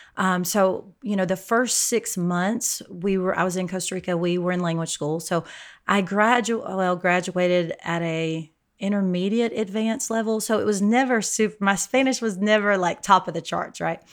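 On a very clean recording with a silent background, a woman with an American accent speaks at a moderate pace in an unremarkable speaking voice, medium in pitch and with fairly even intonation. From Alabama, US South. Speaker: ministry leader and author. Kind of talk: casual interview.

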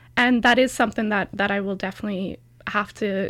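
In a normal speaking voice, a woman talks with a Canadian accent at a fairly quick pace. Her pitch is fairly high, with ordinary variation. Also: very clean recording, silent background. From Canada, rural Alberta. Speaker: PhD student in history. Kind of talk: interview.

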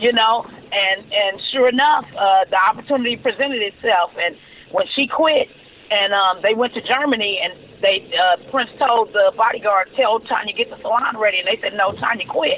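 Noticeable background noise sits behind a woman with an American accent and a fairly high pitch. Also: ordinary pitch variation, moderate pace. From Los Angeles, California. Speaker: celebrity hairstylist. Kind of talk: interview. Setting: remote call.

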